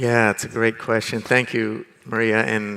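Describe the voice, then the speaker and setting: This bright, sharp tone carries along at a moderate pace. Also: man. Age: 60s. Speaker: land rights expert and social innovator. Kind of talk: conference panel discussion. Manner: hesitant, with many fillers and restarts.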